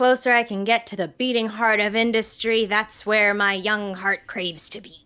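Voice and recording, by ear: A woman uses a put-on character voice with a playful, theatrical tone and fairly high pitch. She keeps a moderate pace with hardly any pauses.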